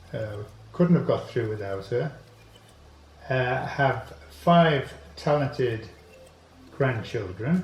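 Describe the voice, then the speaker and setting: Music plays in the background and audible room echo surrounds a man of medium pitch who speaks with lively intonation at a very slow pace, leaving long, frequent pauses. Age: 80s+. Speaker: inventor. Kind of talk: interview. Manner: halting.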